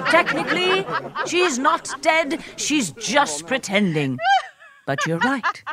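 A woman puts on a character voice, high-pitched, bright and sharp, speaking slowly with lively intonation over faint crowd noise in the background.

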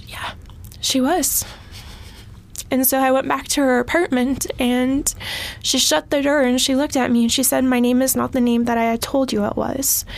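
A woman speaks at a moderate pace with long, frequent pauses and noticeable background noise behind her. Her pitch is high, her intonation fairly even. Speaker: trafficking survivor and nonprofit leader. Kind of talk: testimony.

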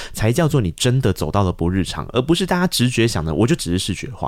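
A man talks at a very fast pace in a fairly low pitch. His pitch swings very widely. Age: 30s. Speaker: podcast host. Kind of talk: interview. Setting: studio.

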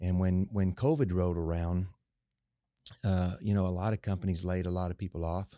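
A man speaks at a fairly quick pace in a very deep, low pitch, with a dark, mellow tone and fairly even intonation. The recording is very clean and dry, close with no echo and a silent background. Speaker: car dealership owner. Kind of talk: casual interview chat. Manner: calm, measured.

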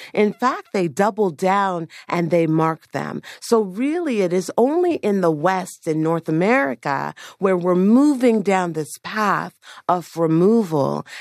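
With a normal speaking voice, a woman talks at a fairly slow pace in medium pitch and lively intonation, the sound dry and close with no echo. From Toronto (Scarborough). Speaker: urban placemaker. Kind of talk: public talk. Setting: stage with audience.

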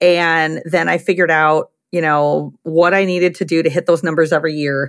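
A woman with a fairly low pitch and ordinary pitch variation speaks in an unremarkable speaking voice, captured in a very clean recording with a silent background. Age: 40s. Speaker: portrait photographer. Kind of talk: interview.

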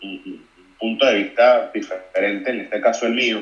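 A man with a Caracas Venezuelan accent speaks at a fairly slow pace. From Venezuela, Caracas. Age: 30s. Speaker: photographer. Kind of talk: casual chat.

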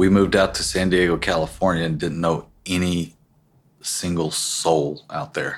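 A man with an Alabama accent and a very deep, low pitch speaks at a fairly slow pace with ordinary pitch variation. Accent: Southern US (Alabama). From US South, Alabama (Tuscaloosa area). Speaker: Marine veteran and father. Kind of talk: interview testimony.

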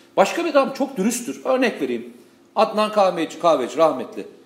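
A man's pitch swings very widely against noticeable background noise. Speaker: political commentator. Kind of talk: casual political discussion.

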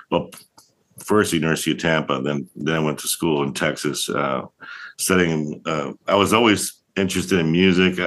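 Speaking at a moderate pace, a man with a very deep, low pitch shows ordinary pitch variation and vocal fry. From Puerto Rico. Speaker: artist and gallery owner. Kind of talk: casual interview. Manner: halting.

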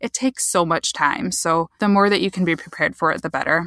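A woman with a Midwestern American accent speaks at a medium pitch and a fairly quick pace. The sound is dry and close with no echo, on a very clean recording with a silent background. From US Midwest, Michigan. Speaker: social media marketer. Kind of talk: casual interview.

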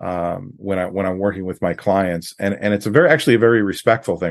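Here is an unremarkable speaking voice from a man with an American accent and a fairly low pitch. He talks at a fairly quick pace with ordinary pitch variation against a quiet background. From New York. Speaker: financial advisor. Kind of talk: podcast interview.

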